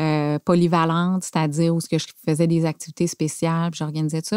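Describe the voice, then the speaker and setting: Speaking at a moderate pace in a Quebec accent, a woman has a fairly low pitch and a dark, mellow tone, with a dry sound with no echo and a quiet background. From Quebec City, Canada. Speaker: factory director. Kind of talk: casual interview. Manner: halting, hesitant, many fillers. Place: studio. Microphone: studio mic.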